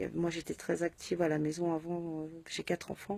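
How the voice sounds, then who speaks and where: A woman talks at a fairly slow pace. Her tone is dark and mellow. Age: 30s. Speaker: patient sharing illness experience. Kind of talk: personal testimony. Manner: halting, many hesitations.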